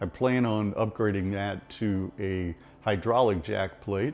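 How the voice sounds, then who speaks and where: Music plays in the background as a man with a fairly low pitch speaks with ordinary pitch variation. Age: 60s. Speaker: club tournament bass angler. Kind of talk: casual talk to camera. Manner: honest, conversational.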